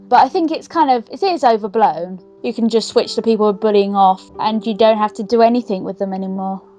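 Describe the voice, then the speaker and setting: At a fairly quick pace and with ordinary pitch variation, the voice is heard over music in the background. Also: woman. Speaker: interviewee. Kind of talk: interview.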